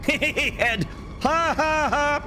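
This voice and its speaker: A man's voice in an American accent, noticeable background noise underneath. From Australia. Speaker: video game streamer. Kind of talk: casual live-stream chat. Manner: animated.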